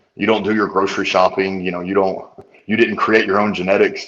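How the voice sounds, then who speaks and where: In a Southern US accent, a man talks at a fairly quick pace and fairly low pitch with monotone, flat intonation. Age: 30s. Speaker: nutritionist. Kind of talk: podcast interview.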